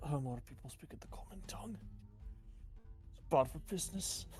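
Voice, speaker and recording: A put-on character voice, gruff and rumbling, moves at a fairly quick pace. Clear background noise sits behind it. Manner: grumbling, gruff.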